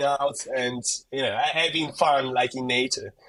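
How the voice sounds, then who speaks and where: A man speaks at a moderate pace in an Italian accent. His tone is bright and sharp. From Italy. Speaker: gardening content creator. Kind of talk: podcast interview. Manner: casual, many fillers and repetitions.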